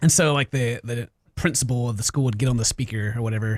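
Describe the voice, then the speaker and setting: Speaking at a very fast pace, a man with a slight Southern US accent sounds somewhat breathy at medium pitch. His intonation is fairly even, and the sound is dry and close, with no echo. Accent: mild Southern US. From US South. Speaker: gaming YouTuber, podcast co-host. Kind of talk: casual chat.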